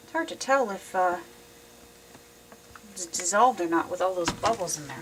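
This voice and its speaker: A woman speaks at a medium pitch and a moderate pace with ordinary pitch variation. Her loudness swings widely, and there is noticeable background noise. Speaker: soap-making hobbyist. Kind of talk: tutorial. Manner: casual, hesitant with fillers.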